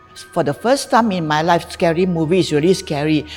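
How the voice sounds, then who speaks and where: A woman speaks with music in the background. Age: 70s. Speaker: insurance agent. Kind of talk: testimonial interview answer.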